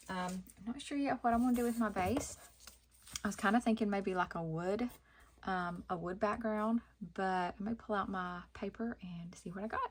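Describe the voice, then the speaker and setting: At a moderate pace, a woman with a Southern accent speaks at a medium pitch, somewhat breathy, with ordinary pitch variation. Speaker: craft youtuber. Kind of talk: tutorial. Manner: casual, hesitant with many ums.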